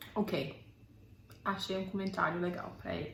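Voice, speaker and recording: Noticeable background noise accompanies a woman with a slight non-native accent who speaks at a fairly slow pace. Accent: light foreign accent in Portuguese. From Belfast, Northern Ireland. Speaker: YouTuber. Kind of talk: casual talk to camera.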